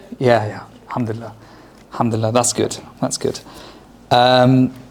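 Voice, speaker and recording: Noticeable background noise sits behind this man's voice. He talks at a moderate pace with a medium pitch and monotone, flat intonation. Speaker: lecturer on Islamic history. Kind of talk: lecture. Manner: loud; hesitant fillers.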